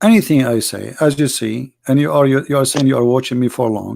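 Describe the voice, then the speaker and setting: A man talks fairly quickly at a medium pitch. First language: not English. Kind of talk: live call-in debate.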